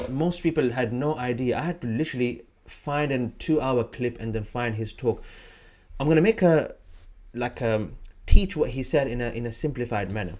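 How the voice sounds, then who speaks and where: A man with a non-native accent, medium pitch and ordinary pitch variation. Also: moderate pace. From Saudi Arabia (Madinah). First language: not English. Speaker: Quran teacher. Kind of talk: live stream talk. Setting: live video stream. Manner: casual, with hesitations and repeats.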